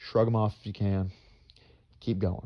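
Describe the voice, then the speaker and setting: Speaking at a moderate pace, a man with an American accent has a fairly low pitch and monotone, flat intonation. The sound is dry and close with no echo. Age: 20s. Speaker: vlogger. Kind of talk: personal vlog monologue. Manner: stuttering, halting; repetitive, earnest.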